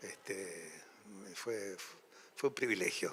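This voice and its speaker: In a bright, sharp tone, a man talks at a fairly slow pace. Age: 80s. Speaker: actor. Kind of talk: panel discussion, anecdotes. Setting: festival hall with audience. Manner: halting, many fillers.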